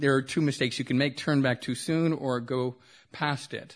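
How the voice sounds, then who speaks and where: Speaking at a moderate pace with an American accent, a man has a normal speaking voice, a fairly high pitch and fairly even intonation. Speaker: poet. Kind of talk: poetry reading. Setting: stage with audience.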